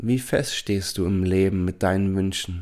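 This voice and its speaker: A man's fairly low voice at a very slow pace, in a very clean recording with a silent background. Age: 40s. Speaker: life coach and podcast host. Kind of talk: solo self-help monologue.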